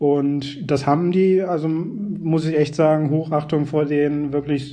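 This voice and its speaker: A man's fairly high voice with monotone, flat intonation. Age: 30s. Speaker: NGO project officer. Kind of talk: interview.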